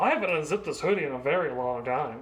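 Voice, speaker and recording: The words come out as mumbling at a fairly quick pace. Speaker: DIY video creator. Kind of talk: casual tutorial.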